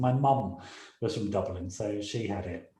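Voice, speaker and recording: A man speaks with a bright, sharp tone. Audible room echo surrounds his voice. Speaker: radio show host. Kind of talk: casual chat.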